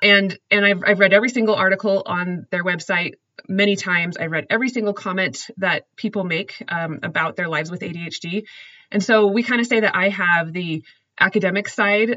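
A woman speaks in an ordinary speaking voice at a medium pitch. Her pace is fairly quick. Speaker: podcast host on motherhood. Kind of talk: casual conversational podcast. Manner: warm, encouraging.

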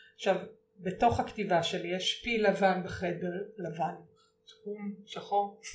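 A woman speaks fairly slowly at a medium pitch with fairly even intonation, leaving long, frequent pauses in a room with audible echo. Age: 40s. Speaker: author writing a book on open relationships. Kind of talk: casual chat.

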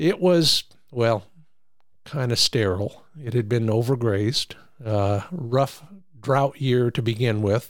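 Over a very clean recording with a silent background, a man with an unremarkable speaking voice talks at medium pitch with ordinary pitch variation. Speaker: podcast host. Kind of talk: casual interview chat.

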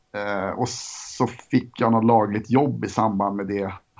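Music is heard in the background. Over it, a man speaks at a fairly slow pace. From Sweden, Jönköping then Gothenburg. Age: 40s. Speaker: graffiti artist. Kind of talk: casual interview.

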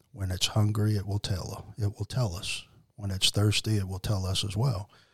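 A man with an American accent speaks at a moderate pace and fairly low pitch, monotone and somewhat breathy, on a very clean recording with a silent background. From New Orleans, Louisiana. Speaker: addiction therapist in long recovery. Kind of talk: casual interview testimony.

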